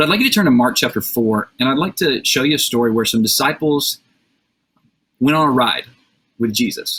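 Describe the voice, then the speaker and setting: With an American accent, a man speaks at a very fast pace. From US South, Alabama. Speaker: youth speaker. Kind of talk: sermon. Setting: video call from bedroom. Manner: casual.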